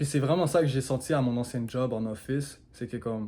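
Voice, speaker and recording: This man speaks with a Quebec accent at a moderate pace and fairly even intonation. The recording is very clean, with a silent background. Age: 20s. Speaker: marketing agency owner, vlogger. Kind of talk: casual vlog monologue. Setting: alone in his living room at home. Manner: casual, mixes English into French.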